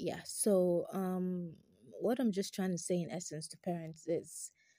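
Speaking at a moderate pace, a woman has a fairly low, somewhat breathy voice with a dark, mellow tone. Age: 20s. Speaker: podcast host. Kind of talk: casual monologue.

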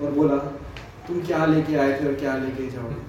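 A man talks in a monotone, flat intonation, with audible room echo and noticeable background noise around him. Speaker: scripture teacher. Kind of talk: religious class on scripture. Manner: interactive, asks audience questions.

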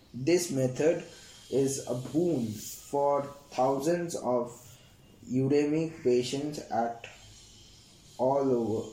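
A man's fairly high voice at a very slow pace, with noticeable background noise and audible room echo. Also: ordinary pitch variation. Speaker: student study podcaster. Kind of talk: reading aloud textbook summary. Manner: halting with fillers.

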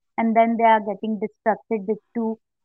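Over background music, a woman speaks at a moderate pace in a fairly high pitch. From India. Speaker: coastal geographer. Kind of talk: interview. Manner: hesitant with fillers.

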